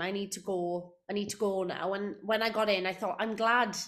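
A woman's medium-pitched voice in a South Wales accent, at a moderate pace with hardly any pauses, over noticeable background noise. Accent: Welsh (South Wales). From South Wales, Port Talbot. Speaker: musical theatre actress. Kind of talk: casual interview chat. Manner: animated.

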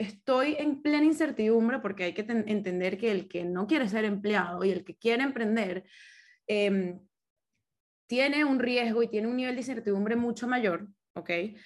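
With a Caracas accent, a woman speaks at a fairly slow pace with lively intonation. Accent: Venezuelan Spanish (Caracas). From Venezuela, Caracas. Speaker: business consultant, engineer. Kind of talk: casual interview.

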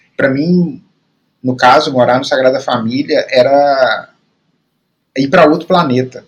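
With a Minas Gerais accent, a man speaks slowly at a fairly high pitch, his intonation fairly even and broken by long, frequent pauses. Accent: Brazilian Portuguese, Minas Gerais. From Brazil, Belo Horizonte. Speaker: podcast co-host. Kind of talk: casual film discussion. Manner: halting, many repetitions.

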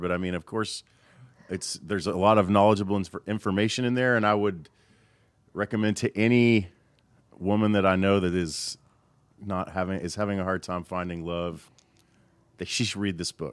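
In a very clean recording with a silent background, a man with a fairly low pitch speaks at a moderate pace, his intonation fairly even and his pauses long and frequent. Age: 40s. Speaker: audio engineer and producer. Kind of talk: casual chat. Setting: studio.

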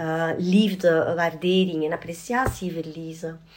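Noticeable background noise runs beneath a woman talking at a fairly low pitch. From Belgium, Antwerp. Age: 40s. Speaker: adoption advocacy group chair. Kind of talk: casual conversation.

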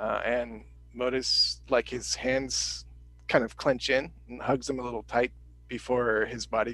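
The clip is plain reading aloud.

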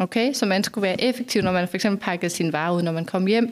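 A woman speaks in a normal speaking voice at a medium pitch. The recording is very clean, with a silent background. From Denmark, northern Funen. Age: 40s. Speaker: sustainability strategist. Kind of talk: podcast interview. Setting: office.

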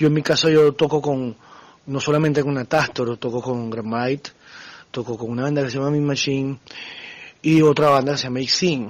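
Delivery runs at a moderate pace with fairly even intonation. Long, frequent pauses break it up. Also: man, fairly high pitch for a man. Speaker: metal band drummer. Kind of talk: interview. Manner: halting.

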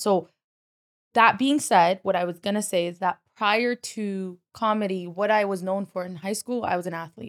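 An unremarkable speaking voice moves at a moderate pace with fairly even intonation, in a dry, close sound with no echo. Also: woman, medium pitch for a woman. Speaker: stand-up comedian. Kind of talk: casual chat.

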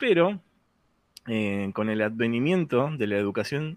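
The speaker is a man. He has a Rioplatense accent. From Argentina, Buenos Aires. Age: 40s. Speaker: podcast host. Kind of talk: casual chat. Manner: animated.

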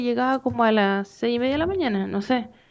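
A woman speaks in a fairly high voice with a Chilean accent. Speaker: film podcast co-host, economist. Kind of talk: casual chat.

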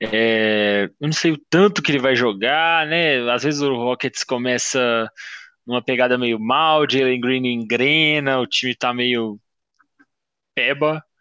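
Against a quiet background, a man with a bright, sharp tone and medium pitch talks at a very slow pace with ordinary pitch variation. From Belo Horizonte, Minas Gerais, Brazil. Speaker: fantasy basketball league member. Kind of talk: casual chat. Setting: video call.

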